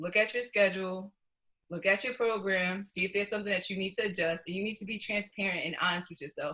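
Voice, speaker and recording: She talks very fast with an American accent. This woman's medium pitch stays fairly even in intonation. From New York. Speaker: professional runner. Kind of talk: interview.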